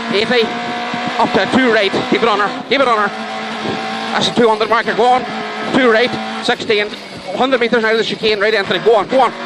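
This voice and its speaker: Long, frequent pauses break up speech at a moderate pace, the sound dry with no echo and noticeable background noise behind it. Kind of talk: pace-note calls. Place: car. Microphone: headset.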